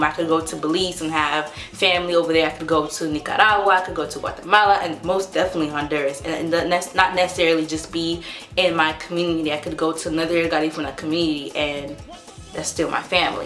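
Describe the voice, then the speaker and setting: Amid noticeable background noise and audible room echo, a woman with a fairly low pitch talks at a very fast pace in monotone, flat intonation. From US South, North Carolina. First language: Spanish. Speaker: vlogger. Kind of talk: casual vlog talk.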